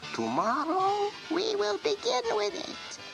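A put-on character voice speaks at a very slow pace, with clear music in the background. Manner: gentle, patient.

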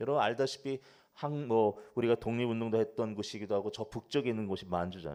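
A man with a dark, mellow tone and medium pitch talks at a very fast pace with ordinary pitch variation. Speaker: pastor. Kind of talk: sermon.

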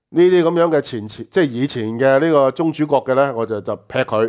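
Speaking at a moderate pace with lively intonation, a man with a medium-pitched voice is heard over a quiet background. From Hong Kong. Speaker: political talk show host. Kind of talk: political commentary chat. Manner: animated, frequent laughter. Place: studio.

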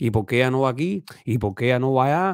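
Very fast and animated, a man speaks with lively intonation. The sound is dry with no echo and the background quiet. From Cuba. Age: 30s. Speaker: YouTube commentator. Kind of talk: opinion monologue. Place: home room. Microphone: studio mic.

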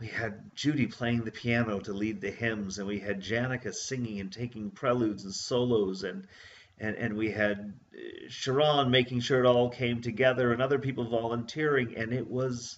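Ordinary pitch variation from a man at a moderate pace. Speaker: church minister. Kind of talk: casual summary of a church service. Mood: warm, reflective, joyful. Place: home room. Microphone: webcam.

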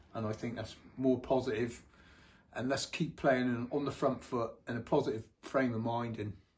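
Somewhat breathy, a man speaks at a moderate pace. His intonation stays fairly even. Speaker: guest. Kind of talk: casual chat. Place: home room. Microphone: phone near.

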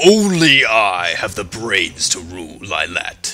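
Over music in the background, a man uses a put-on character voice at medium pitch and a fairly slow pace. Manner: menacing, deep.

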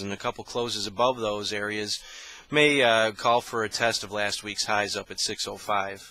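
Flat and monotone, a man speaks in a fairly low pitch with a dry sound and no echo. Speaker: commodity market analyst. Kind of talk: market commentary. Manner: frequent filler words (uh, um). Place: office. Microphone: headset.

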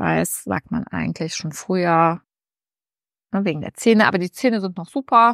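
A woman with an animated tone speaks at a moderate pace, with ordinary pitch variation, long, frequent pauses and big swings in loudness, the sound dry with no echo over a quiet background. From Germany, Bonn (Rhineland); Germany. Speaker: lifestyle YouTuber. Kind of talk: casual vlog to camera. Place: home room. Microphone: lapel.

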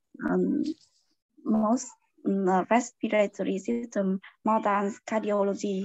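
Over a quiet background with a dry sound and no echo, a woman with a Vietnamese accent speaks at a very slow pace with long, frequent pauses and ordinary pitch variation. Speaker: pediatrician and student. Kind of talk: class participation. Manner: halting. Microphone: video call.

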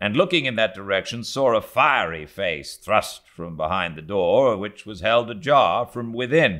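Reading done in a natural voice

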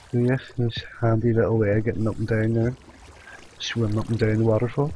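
A quiet man at a fairly quick pace, with monotone, flat intonation, very even loudness, a dry sound with no echo, and light background noise. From UK. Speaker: gaming youtuber. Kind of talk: let's play commentary. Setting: at home at night. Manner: casual. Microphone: cheap headset, mediocre quality; headset.

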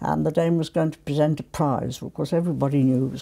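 With vocal fry and a very deep, low pitch, a woman talks at a fairly quick pace with fairly even intonation. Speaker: interviewee. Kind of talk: interview answer. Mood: warm, amused reminiscing. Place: home room. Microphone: lapel.

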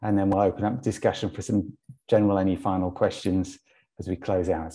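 With a normal speaking voice, a man talks at a fairly quick pace and fairly low pitch, using fairly even intonation against a quiet background. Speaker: online event host. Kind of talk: event hosting introduction. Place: home room. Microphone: earbuds.

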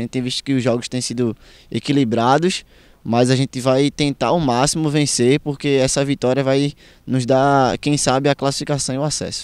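An unremarkable speaking voice, a man's at medium pitch, moves at a fairly quick pace with fairly even intonation. The recording is very clean, with a silent background and a dry, close sound with no echo. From Cabo, Pernambuco, Brazil. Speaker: footballer. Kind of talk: post-match interview.

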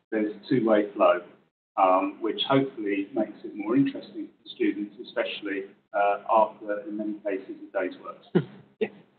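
Male voice at a moderate pace, big swings in loudness, audible room echo, and light background noise. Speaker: banking lecturer, former bank treasury professional. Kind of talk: informal talk to audience. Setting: room with live audience and online stream. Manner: soft-spoken. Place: meeting room.

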